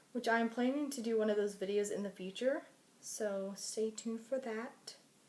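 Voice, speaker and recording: Through noticeable background noise, a woman talks at a moderate pace with a fairly high pitch and ordinary pitch variation. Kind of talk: makeup tutorial, casual talk to camera. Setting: recorded late at night at home.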